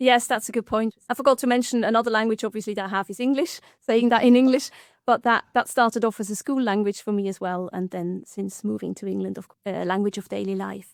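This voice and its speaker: A woman's very fast speech in a Swiss German accent, fairly high in pitch with fairly even intonation, dry and close with no echo on a very clean recording with a silent background. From Switzerland (German-speaking). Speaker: linguistics lecturer. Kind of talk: casual podcast chat. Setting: studio.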